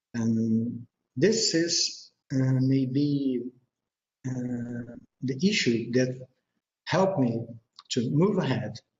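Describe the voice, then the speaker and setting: At a very slow pace with long, frequent pauses, a man talks in a medium pitch, somewhat breathy, with ordinary pitch variation. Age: 50s. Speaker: researcher presenter. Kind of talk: presentation. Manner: halting.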